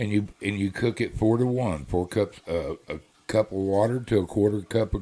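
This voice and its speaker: In a very clean recording with a silent background, a man with a Texas accent speaks at a moderate pace and a fairly low pitch, using ordinary pitch variation and a dark, mellow tone. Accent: Southern US (Texas). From South Texas. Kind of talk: casual chat.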